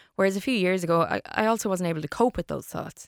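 In an Irish Midlands accent, a woman speaks in a dry, close sound with no echo on a very clean recording with a silent background. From Ireland, Longford. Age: 30s. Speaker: radio broadcaster. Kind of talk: interview about mental health.

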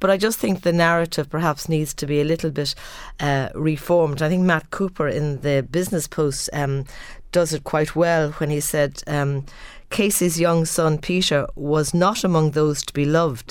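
At a moderate pace, a woman talks in an Irish accent. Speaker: theologian and lecturer.

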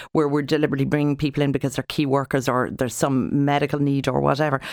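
With an Irish accent and vocal fry, the speaker talks at a very fast pace in a very clean recording with a silent background and a dry, close sound with no echo. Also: woman. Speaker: family doctor. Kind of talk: radio panel discussion.

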